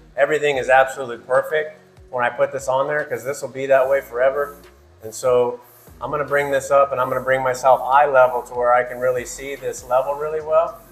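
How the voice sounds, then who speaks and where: Faint music plays in the background as a man talks at a very fast pace with monotone, flat intonation. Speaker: trade school instructor. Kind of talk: tutorial. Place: empty room. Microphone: phone near.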